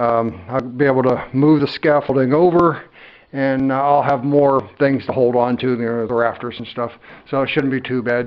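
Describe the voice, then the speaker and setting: Medium in pitch, a man speaks at a moderate pace. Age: 60s. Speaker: DIY home builder vlogger. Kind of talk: casual vlog narration. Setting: indoors on a building site, on scaffolding. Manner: casual, hesitant with many fillers.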